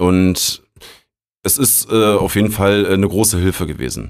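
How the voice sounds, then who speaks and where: A man keeps a moderate pace and ordinary pitch variation, captured on a very clean recording against a silent background. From Berlin. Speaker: technical support agent. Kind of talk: casual interview. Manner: relaxed.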